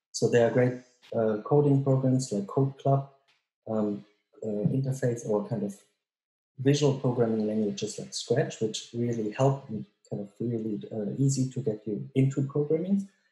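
A man's dark, mellow, somewhat breathy voice with ordinary pitch variation, a moderate pace and audible room echo. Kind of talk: interview answer. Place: home room. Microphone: webcam.

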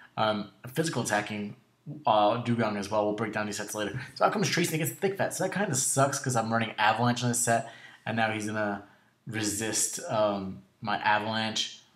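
A man's talking moves fairly quickly, and noticeable background noise accompanies it. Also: medium pitch for a man, ordinary pitch variation. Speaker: gaming YouTuber. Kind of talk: gameplay commentary narration. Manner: casual, lots of filler words; enthusiastic.

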